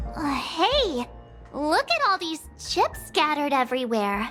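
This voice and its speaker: A woman puts on a cartoonish character voice, pitched high and delivered at a fairly slow pace. Clear music plays in the background. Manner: bubbly, excitable.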